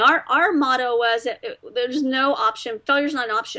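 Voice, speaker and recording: A woman talks in a high voice with an American accent. Her tone is bright and sharp, with ordinary pitch variation. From Texas. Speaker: business owner. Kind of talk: interview.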